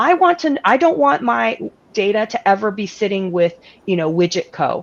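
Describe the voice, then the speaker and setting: A woman talks at a medium pitch. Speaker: lawyer. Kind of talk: panel discussion. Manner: fast.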